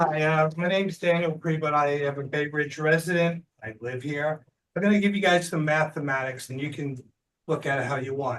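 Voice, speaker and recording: Fairly quick and fairly high, a man's voice keeps a fairly even intonation. It is an unremarkable speaking voice. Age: 60s. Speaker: community meeting speaker. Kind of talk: public comment. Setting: community board meeting.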